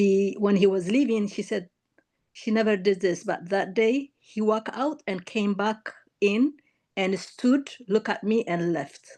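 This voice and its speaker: Her tone dark and mellow, a woman with an East African accent talks at a fairly slow pace with ordinary pitch variation. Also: medium pitch for a woman. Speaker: caller seeking reading. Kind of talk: casual conversation. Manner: halting.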